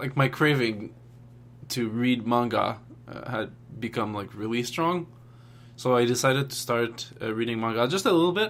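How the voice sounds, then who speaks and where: Here a man speaks with a non-native accent at a moderate pace. His pitch is medium, with ordinary pitch variation. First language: not English. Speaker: language learning vlogger. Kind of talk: casual vlog update. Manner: hesitant, many filler words.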